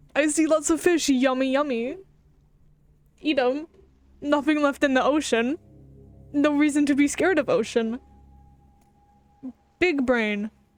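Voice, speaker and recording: Ordinary pitch variation and very even loudness at a fairly slow pace, with long, frequent pauses and music in the background. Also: woman, high pitch for a woman. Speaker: gaming streamer. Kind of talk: casual live-stream gameplay commentary. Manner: animated.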